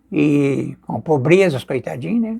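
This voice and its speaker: A man talks with very wide swings in pitch. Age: 80s+. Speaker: folk healer (benzedor). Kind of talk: interview storytelling. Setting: outdoors on a house porch. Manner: animated.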